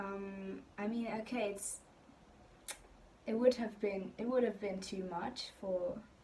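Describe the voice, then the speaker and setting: Speaking at a very slow pace, a woman leaves long, frequent pauses, her intonation fairly even. Noticeable background noise is present. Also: medium pitch for a woman. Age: 20s. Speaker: YouTuber. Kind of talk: casual talk to camera.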